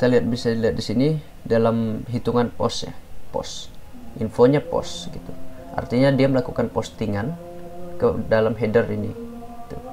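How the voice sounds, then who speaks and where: A man's medium-pitched voice at a moderate pace, ordinary pitch variation and long, frequent pauses, with music in the background. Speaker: cybersecurity tutorial creator. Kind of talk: tutorial. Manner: hesitant, many fillers; casual.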